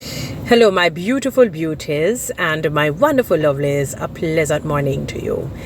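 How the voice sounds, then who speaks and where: A Jamaican accent with lively intonation, set against noticeable background noise. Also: woman. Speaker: social media commentator. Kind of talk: monologue vlog with biblical commentary.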